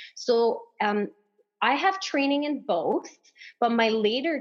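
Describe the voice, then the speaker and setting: A woman is speaking. Her pace is fairly slow. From Canada, northern Ontario, French-speaking. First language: French. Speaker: acupuncturist and massage therapist. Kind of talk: casual podcast interview.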